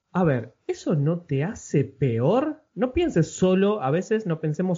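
A man speaks in a somewhat breathy voice. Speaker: podcast host. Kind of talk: interview.

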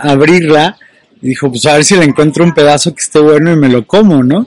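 This man has a plain, everyday voice, fairly high in pitch, with ordinary pitch variation. The sound is dry and close, with no echo. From Mexico. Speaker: motivational coach. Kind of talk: monologue video. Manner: filler-heavy.

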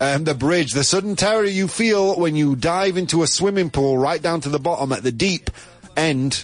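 A man speaks at a moderate pace with a fairly high pitch and ordinary pitch variation. His loudness is very even, with noticeable background noise behind him. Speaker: radio host. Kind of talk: casual chat. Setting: studio. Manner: animated; joking.

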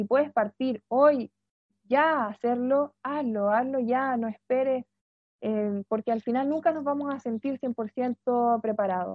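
A woman's high-pitched voice, fairly slow in pace, with fairly even intonation. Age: 20s. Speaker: human resources lecturer and speaker. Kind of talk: webinar talk.

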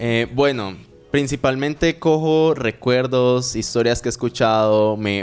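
A man with an unremarkable speaking voice talks at a fairly slow pace, with ordinary pitch variation. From Colombia, Medellín. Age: 20s. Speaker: reggaeton singer. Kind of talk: interview.

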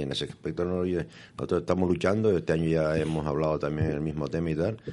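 A man talks at a very fast pace. His voice is very deep and low, with a dark, mellow tone. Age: 70s. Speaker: choir member. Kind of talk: radio interview.

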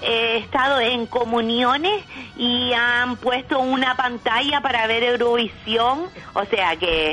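A woman's high-pitched, squeakless delivery at a very slow pace, with ordinary pitch variation, very even loudness and noticeable background noise. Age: old. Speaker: Eurovision fan. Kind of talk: casual chat.

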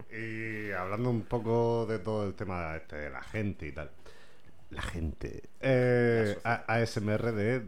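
Audible room echo carries a man's fairly low-pitched voice, which has ordinary pitch variation. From Spain, Vega Baja (Alicante). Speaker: podcast host. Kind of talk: casual interview.

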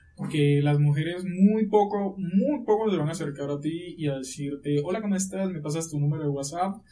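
Noticeable background noise sits behind speech with hardly any pauses, a moderate pace and ordinary pitch variation. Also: man, high pitch for a man. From Colombia, La Guajira. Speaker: lawyer. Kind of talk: podcast interview.

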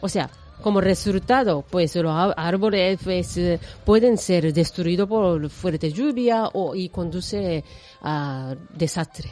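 Someone speaks at a very slow pace in a Japanese accent. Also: woman, medium pitch for a woman, ordinary pitch variation. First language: Japanese (speaking Spanish). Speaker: radio host. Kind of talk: radio presenting.

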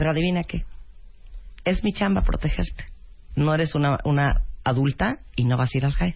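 With vocal fry and lively intonation, the speaker keeps a moderate pace and very even loudness, leaving long, frequent pauses. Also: woman, very deep, low pitch for a woman. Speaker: radio host. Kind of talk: casual chat.

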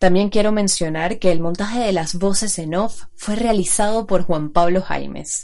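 Speaking at a fairly slow pace with hardly any pauses, a woman keeps a medium pitch and fairly even intonation. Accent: Venezuelan. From Venezuela. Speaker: podcast host. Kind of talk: scripted narration.

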